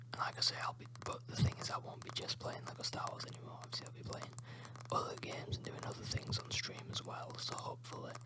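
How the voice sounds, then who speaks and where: Someone whispers very fast in a British accent, with noticeable background noise behind. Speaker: ASMR YouTuber and streamer. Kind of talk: ASMR whispered chat. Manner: whispering.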